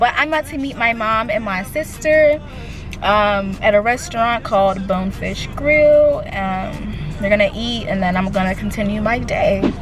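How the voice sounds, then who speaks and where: Over music in the background, a woman speaks at a moderate pace with a fairly high pitch and ordinary pitch variation. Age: young. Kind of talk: casual vlog talk to camera.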